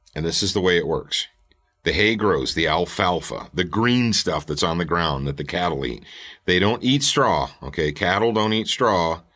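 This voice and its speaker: Over a quiet background, a man speaks with lively intonation and a very deep, low pitch. His tone is bright and sharp, with vocal fry. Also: moderate pace. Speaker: podcast host. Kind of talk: motivational podcast talk.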